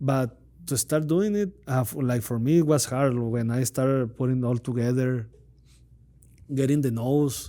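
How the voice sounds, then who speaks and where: Speaking in a Spanish accent, a man with a dark, mellow tone and medium pitch keeps a moderate pace with ordinary pitch variation. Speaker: podcast host. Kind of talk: interview. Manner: halting.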